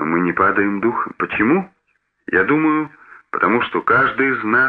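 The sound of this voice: An unforced reading voice with lively intonation plays over a quiet background.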